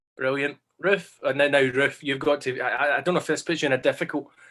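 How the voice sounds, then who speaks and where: With a Scottish accent, a man talks fairly quickly in a fairly high voice and fairly even intonation. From West Central Scotland, Glasgow. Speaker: history teacher hosting online panel. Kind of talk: casual panel chat.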